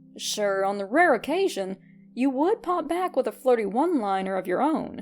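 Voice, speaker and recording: Over music in the background, a woman speaks in a high pitch with very wide pitch swings. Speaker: fanfiction podfic reader. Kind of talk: fanfiction story reading.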